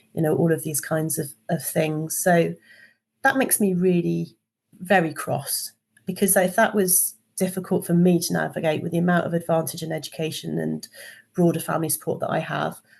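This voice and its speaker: A woman talks at a moderate pace in a fairly low voice with vocal fry. Her intonation stays fairly even. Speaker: engineering and HR consultant. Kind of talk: podcast interview.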